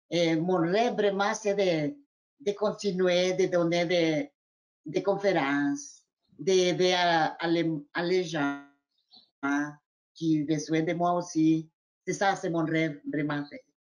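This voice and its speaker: Very slow speech broken by long, frequent pauses. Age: 60s. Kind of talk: panel discussion.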